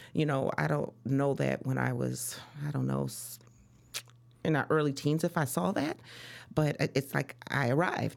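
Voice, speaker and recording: At a moderate pace, a woman talks in an American accent. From Chicago. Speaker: real estate broker. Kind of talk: interview.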